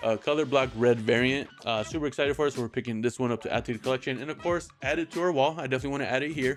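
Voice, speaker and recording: Music plays in the background as a man speaks at a very fast pace with hardly any pauses. His pitch is medium, with ordinary variation. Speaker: comic book YouTuber. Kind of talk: casual vlog. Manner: filler-heavy, halting.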